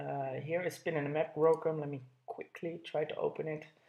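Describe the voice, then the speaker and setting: A man talks with a high pitch. His pace is moderate. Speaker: product reviewer. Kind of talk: product review. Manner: hesitant, many fillers.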